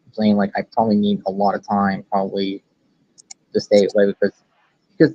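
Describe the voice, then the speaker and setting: The talking is fairly quick. This man's intonation stays monotone and flat. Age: 20s. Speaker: grieving friend of the streamer. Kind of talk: casual chat. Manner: halting.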